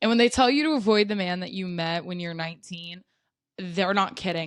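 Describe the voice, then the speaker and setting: Against a quiet background, a woman with an American accent talks in a fairly low pitch with ordinary pitch variation. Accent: mild Southern accent, stronger at times. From US South, South Carolina. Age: 20s. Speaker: vlogger. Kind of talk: casual chat.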